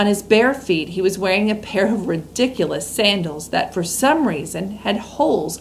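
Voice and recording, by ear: This is someone reading aloud in a natural voice.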